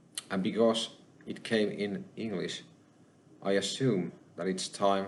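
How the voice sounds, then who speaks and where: With a Finnish accent, a man speaks at a fairly low pitch with ordinary pitch variation, and the room echo is audible. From Finland. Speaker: spiritual channeler / YouTuber. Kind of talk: personal testimony monologue. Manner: halting.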